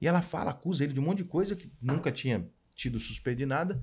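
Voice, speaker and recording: A man with vocal fry speaks at a very fast pace with lively intonation. The background is quiet. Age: 40s. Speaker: sports journalist. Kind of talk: casual chat. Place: studio. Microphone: studio mic.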